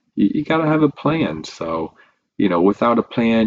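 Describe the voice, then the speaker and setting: Lively intonation from a man at a moderate pace, with dry, close sound and no echo. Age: 20s. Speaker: community college student. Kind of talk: casual vlog talk to camera. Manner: casual, hesitant.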